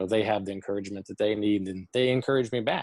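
Speaking with a Southern US accent, a man uses fairly even intonation at a fairly low pitch. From Tennessee, Chattanooga. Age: 30s. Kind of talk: interview. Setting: video call. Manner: halting, many fillers.

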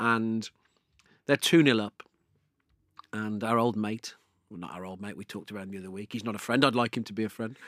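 On a very clean recording with a silent background, a man at medium pitch talks with ordinary pitch variation, the sound dry and close with no echo. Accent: English. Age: 40s. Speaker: podcast host. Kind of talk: casual chat. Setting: studio.

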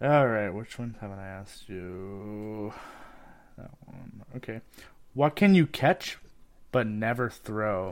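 Delivered at a very slow pace with long, frequent pauses, the voice shows ordinary pitch variation on a very clean recording with a silent background. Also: man, fairly low pitch for a man. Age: 20s. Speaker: podcast co-host. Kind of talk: casual chat. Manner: halting.

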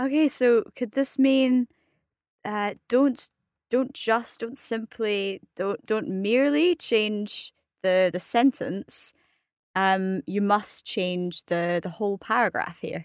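In a very clean recording with a silent background and a dry, close sound with no echo, a woman with a Scottish accent speaks at a very slow pace, her fairly high voice carrying lively intonation. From Scotland. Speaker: advanced French learner. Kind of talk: casual educational chat.

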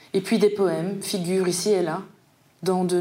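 In a room with audible echo, a woman speaks at a medium pitch and a fairly slow pace in a flat monotone. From Paris suburbs, France. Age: 40s. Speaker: poet. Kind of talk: literary presentation.

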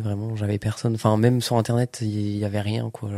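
A man's dark, mellow voice stays monotone and flat in a very clean recording with a silent background. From Lorraine, France (Fléville-Lixières). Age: 20s. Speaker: drama student. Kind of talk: casual chat.

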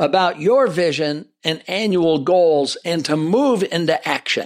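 In a very clean recording with a silent background, a man speaks with lively intonation at a high pitch. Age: 60s. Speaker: podcast host. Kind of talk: solo podcast monologue on leadership.

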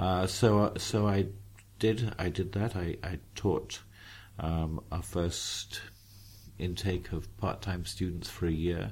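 Speaking at a very slow pace, a man with a southern English accent uses a very deep, low pitch and a somewhat breathy delivery. His intonation is fairly even. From southeast England, near Tunbridge Wells. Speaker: philosophy professor. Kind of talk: interview conversation. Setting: airport lounge. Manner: halting, many fillers and repetitions.

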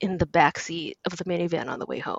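A woman speaks at a moderate pace in a normal speaking voice, her pitch sitting in the medium range. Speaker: critic. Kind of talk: casual chat.

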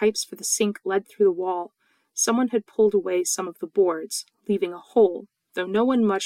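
The reading aloud is plain, with a quiet background behind it.

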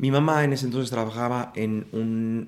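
A man's voice at medium pitch. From Mexico City. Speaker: actor and playwright. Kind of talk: casual interview. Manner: animated.

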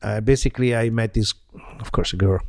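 A man speaks with an Italian accent. His pace is fairly quick. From Italy, Milan. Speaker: violinist. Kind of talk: interview.

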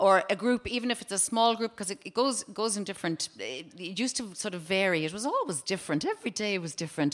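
A woman at medium pitch talks very fast with lively intonation. Background noise is noticeable. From County Cork, Ireland. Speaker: comedian and activist. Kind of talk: casual interview chat.

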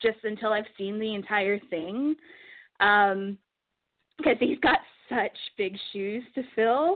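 A woman's ordinary speaking voice, fairly high in pitch, at a fairly slow pace. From Edmonton, Canada. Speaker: caller. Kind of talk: casual chat. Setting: phone call.

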